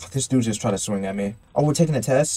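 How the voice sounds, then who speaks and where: A man with a dark, mellow, somewhat breathy tone at a medium pitch, talking at a fairly quick pace. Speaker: gaming YouTuber. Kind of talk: let's play commentary. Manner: rambling, casual.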